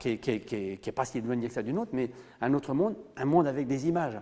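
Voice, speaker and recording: In a very clean recording with a silent background, a man speaks with a dark, mellow tone, fairly high pitch and lively intonation. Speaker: storyteller in Gallo, oral tradition storyteller. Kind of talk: interview answer. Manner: conversational, hesitant, with fillers.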